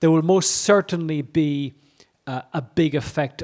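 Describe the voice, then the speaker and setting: A man with an Irish accent has a dark, mellow tone and speaks at a moderate pace with fairly even intonation. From Ireland. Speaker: economist. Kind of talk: conference keynote. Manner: halting, many fillers and repetitions.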